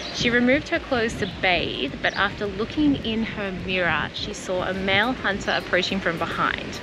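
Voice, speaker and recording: A woman talks at a moderate pace over noticeable background noise, the sound dry with no echo. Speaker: travel vlogger. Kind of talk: casual vlog narration. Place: waterside. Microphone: phone near.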